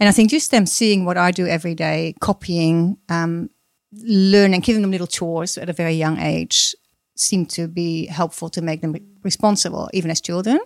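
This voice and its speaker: Her pitch fairly low, a woman speaks with a Dutch accent. Her intonation is fairly even. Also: moderate pace. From Netherlands. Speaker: mother of ten, former homeschooler. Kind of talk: casual chat. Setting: studio.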